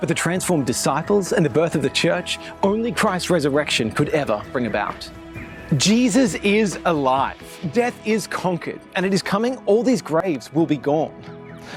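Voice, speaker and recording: Music plays in the background as a man with a high pitch talks at a moderate pace, his pitch swinging very widely while his loudness stays very even. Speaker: spoken word poet. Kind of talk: spoken word poetry performance.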